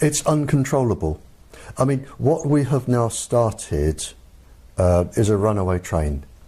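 A man with an English accent, medium pitch with very wide swings, fairly slow pace, somewhat breathy, very even loudness and a dark, mellow tone. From England. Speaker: former military microwave weapons expert. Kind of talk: interview.

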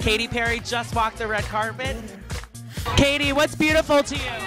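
Over clear music in the background, a raised, projected voice moves at a fairly quick pace with long, frequent pauses, the sound dry with no echo. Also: man. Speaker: entertainment reporter. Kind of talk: red carpet hosting. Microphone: handheld.

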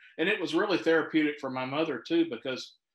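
A man speaks in an American accent. Room echo is audible. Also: quiet background. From US South. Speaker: audience member; guest. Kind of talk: Q&A question. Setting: video call. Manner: halting. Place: home room. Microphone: video call.

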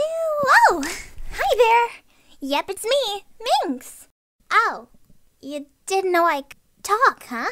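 A cartoonish character voice swings very widely in pitch. It moves at a fairly slow pace. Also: woman. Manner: upbeat, cheerful.

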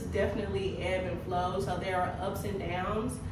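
A woman talks at a moderate pace over noticeable background noise, with audible room echo. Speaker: wellness coach. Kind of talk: casual vlog chat. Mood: upbeat, relieved. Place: home room.

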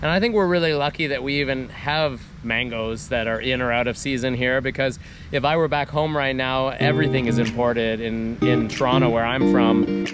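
Clear music plays behind a man speaking at a fairly quick pace. His pitch varies in an ordinary way, and the sound is dry with no echo. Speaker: travel vlogger. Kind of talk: casual vlog chat. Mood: cheerful, upbeat. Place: garden. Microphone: phone near.

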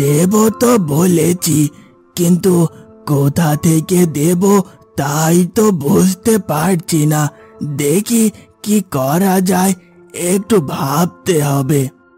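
A man puts on a cartoonish character voice, high-pitched and very slow, with faint music in the background. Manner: worried, gentle, pleading.

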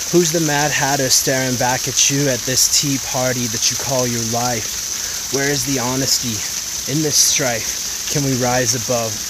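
A man speaks at a fairly slow pace with fairly even intonation. The sound is dry with no echo but has loud background noise. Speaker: spoken word poet. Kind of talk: improvised spoken word poetry. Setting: outdoors. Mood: reflective, inspirational. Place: waterside. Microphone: phone near.

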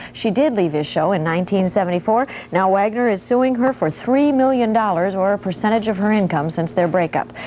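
Delivered at a moderate pace with lively intonation and hardly any pauses, the speech sits over light background noise. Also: woman. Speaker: entertainment news segment presenter. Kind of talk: TV celebrity gossip news segment. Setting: TV studio. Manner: animated, playful, wry. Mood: light, gossipy tone. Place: studio.

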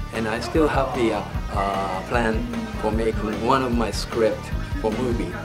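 Music plays in the background. A man talks at a moderate pace. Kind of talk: interview answer. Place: hall. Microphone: phone near.

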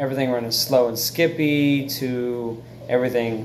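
Light background noise sits behind the recording. A man talks in a monotone, flat manner. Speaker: phone owner reviewer. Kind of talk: casual vlog chat. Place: home room. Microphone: phone near.

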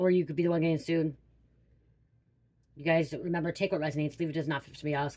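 This woman talks at a very fast pace. Her pitch sits fairly low. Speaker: card reader. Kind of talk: tarot reading to viewers. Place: home room. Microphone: phone near.

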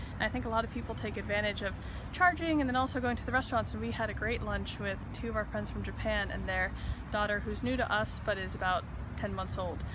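Noticeable background noise accompanies a woman's voice. She speaks at a very fast pace, and the sound is dry, with no echo. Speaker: travel vlogger. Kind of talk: casual vlog chat. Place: street. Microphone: phone near.

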